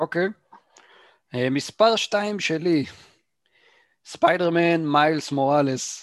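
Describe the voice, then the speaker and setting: Speaking at a very slow pace with long, frequent pauses, a man uses a high pitch and ordinary pitch variation in a dry, close recording with no echo. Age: 30s. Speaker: gaming podcast co-host. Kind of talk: casual chat.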